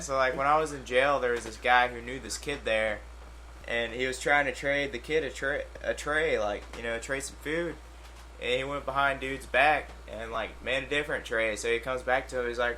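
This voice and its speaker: With a slight Southern US accent, a man talks at a moderate pace, his loudness swinging widely amid audible room echo. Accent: slight Southern country. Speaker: radio show co-host. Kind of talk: casual chat.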